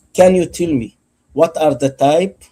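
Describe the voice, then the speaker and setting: With ordinary pitch variation, a man's voice carries a dark, mellow tone. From Egypt. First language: not English. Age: 50s. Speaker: debate participant. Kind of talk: heated debate. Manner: insistent, interrupting.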